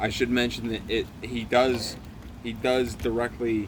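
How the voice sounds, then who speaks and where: A man with an American accent and a medium pitch talks at a fairly slow pace, with audible room echo and noticeable background noise. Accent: Syracuse New York accent when drinking. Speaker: comedy web show host. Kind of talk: casual storytelling while drinking. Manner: halting; animated.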